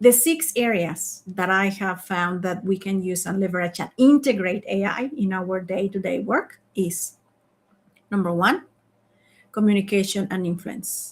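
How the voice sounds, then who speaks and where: A woman with a non-native accent speaks fairly slowly in a medium pitch, somewhat breathy. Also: ordinary pitch variation. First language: not English. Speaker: leadership coach and founder. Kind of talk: live online masterclass. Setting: online live stream.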